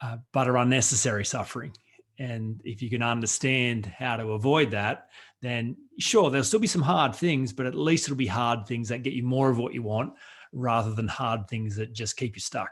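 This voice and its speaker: A man talks with an Australian accent at a medium pitch. His pace is moderate and his pitch varies in an ordinary way. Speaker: author and coach, workshop presenter. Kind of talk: radio interview.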